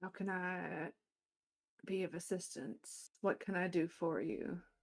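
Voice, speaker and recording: This is a put-on character voice with a rumbling sound. It moves at a fairly slow pace. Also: woman, medium pitch for a woman. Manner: courteous, accommodating.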